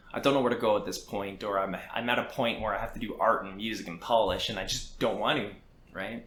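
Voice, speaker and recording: Amid noticeable background noise and audible room echo, a man with a Canadian accent talks at a very fast pace in a medium pitch with fairly even intonation. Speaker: indie game developer. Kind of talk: podcast interview. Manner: hesitant, repeats words.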